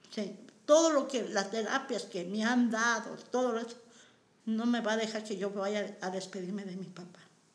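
Audible room echo surrounds a woman whose fairly high pitch shows ordinary variation at a moderate pace. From Mexico, San Luis Potosí (Matehuala). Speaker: community center worker. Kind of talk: personal testimony interview.

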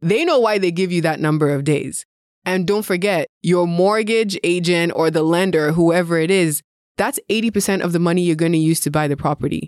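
In a very clean recording with a silent background, a woman speaks at a fairly quick pace in a normal speaking voice, her pitch fairly low and ordinary in variation, her loudness very even. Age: 30s. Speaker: real estate investor. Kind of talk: casual chat.

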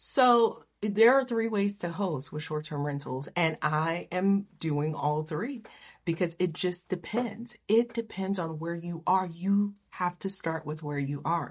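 Speaking at a fairly slow pace, a woman with a fairly low pitch sounds somewhat breathy on a very clean recording with a silent background. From Haiti, raised in Miami. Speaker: real estate investor and coach. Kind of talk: interview.

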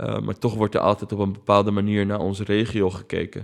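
Over a quiet background, the speaker keeps a fairly quick pace and a monotone, flat intonation. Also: man. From Netherlands, of Palestinian family. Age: 30s. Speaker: documentary maker. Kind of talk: interview.

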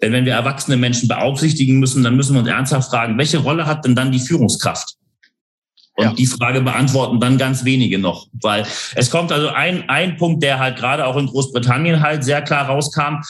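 A man talks at a fairly quick pace and medium pitch, sounding somewhat breathy. His intonation is fairly even and his loudness very even. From northern Germany, Hamburg. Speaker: leadership consultant. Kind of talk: interview conversation.

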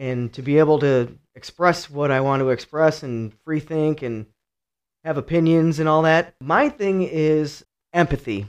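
A man with a Midwestern American accent and fairly high pitch, against a quiet background. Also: ordinary pitch variation, fairly slow pace. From Cleveland, Ohio. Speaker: teacher with psychology degrees. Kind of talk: casual chat.

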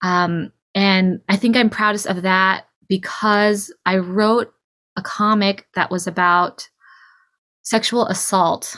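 Speaking at a medium pitch with a West Coast accent, a woman has a bright, sharp tone, a very slow pace, monotone, flat intonation and very even loudness on a very clean recording with a silent background. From California, Bay Area. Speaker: cartoonist, musician and poet. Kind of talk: interview.

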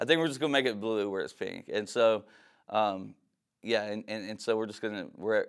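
Against a silent background in a very clean recording, a man with a fairly low pitch speaks at a fairly quick pace with an Appalachian accent. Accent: Appalachian American. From southern West Virginia (Beckley). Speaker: pastor and ministry founder. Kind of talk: testimony.

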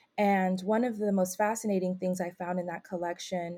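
With an American accent, a woman speaks at a medium pitch in a dark, mellow tone. Her intonation is monotone and flat, and the recording is very clean with a silent background. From California, Bay Area. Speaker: PhD researcher. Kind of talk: interview.

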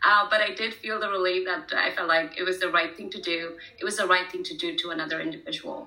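Over noticeable background noise and audible room echo, a woman at medium pitch talks at a very fast pace with hardly any pauses and lively intonation. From India (Pune). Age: 30s. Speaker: startup founder. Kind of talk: casual interview. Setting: video call.

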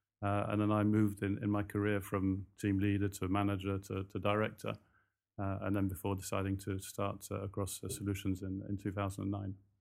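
With a fairly low pitch, a man talks at a fairly quick pace in a monotone, flat intonation. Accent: slight British. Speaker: recruitment company founder. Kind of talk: interview, casual chat. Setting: hotel, interview. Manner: conversational, hesitant with fillers.

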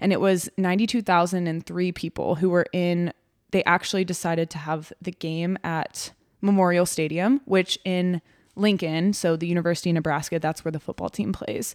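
A woman's normal speaking voice with an American accent, fairly low in pitch, at a moderate pace with fairly even intonation, dry and close with no echo, on a very clean recording against a silent background. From Texas. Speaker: sports dietitian, podcast co-host. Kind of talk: casual chat.

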